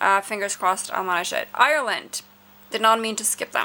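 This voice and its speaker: Her tone is bright and sharp, with a fairly high pitch. The woman speaks at a fairly quick pace with fairly even intonation. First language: not English. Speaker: music video reviewer. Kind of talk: casual review monologue. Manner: hesitant, many fillers.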